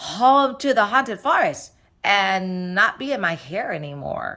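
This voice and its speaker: A put-on character voice, female-sounding, at a medium pitch for a woman with very wide pitch swings, a fairly slow pace and a very clean recording with a silent background. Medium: read story. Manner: earnest, polite.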